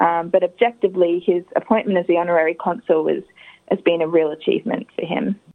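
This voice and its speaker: A woman with an Australian accent and fairly low pitch talks at a very fast pace with fairly even intonation. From Adelaide, South Australia. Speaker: granddaughter of an honoured community figure. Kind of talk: interview. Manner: hesitant, with fillers.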